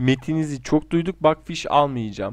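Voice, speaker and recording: A man speaks at a moderate pace in an ordinary speaking voice, with ordinary pitch variation against a quiet background. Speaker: gaming YouTuber. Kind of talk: casual solo commentary doing online quizzes.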